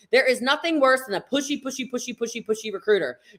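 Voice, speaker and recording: The voice is loud, with a bright, sharp tone, and it moves at a very fast pace. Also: woman. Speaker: network marketing trainer. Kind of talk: live stream training. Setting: live video stream.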